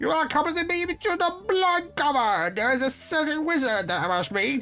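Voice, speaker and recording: A put-on character voice is pitched high. Light background noise sits underneath. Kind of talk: formal, archaic. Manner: imperious, commanding.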